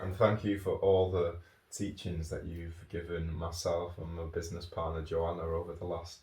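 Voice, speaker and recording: A man's very deep, low voice, somewhat breathy and flat in intonation, with a Manchester accent. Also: moderate pace. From Manchester, northern England. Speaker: podcast host, yoga teacher and author. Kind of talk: casual podcast chat. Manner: rambling, filler-heavy.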